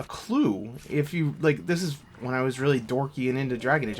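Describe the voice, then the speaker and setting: The speaker has a slight Boston accent and keeps to a moderate pace. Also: man. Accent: slight Boston accent on some words. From Massachusetts, Worcester (near Boston). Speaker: video game let's play host. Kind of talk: casual gameplay commentary. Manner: casual, filler-heavy with restarts.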